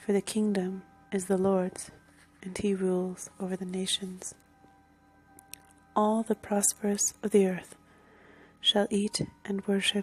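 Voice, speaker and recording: The speaker is soft-spoken and talks at a fairly slow pace. There is noticeable background noise. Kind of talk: scripture reading, ASMR.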